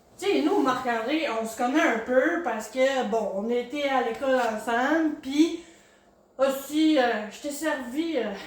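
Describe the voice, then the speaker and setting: Very slowly and in a high pitch, a woman speaks with ordinary pitch variation and big swings in loudness, over noticeable background noise and audible room echo. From Quebec, Gaspésie (Maria). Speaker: podcast host. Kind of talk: casual interview.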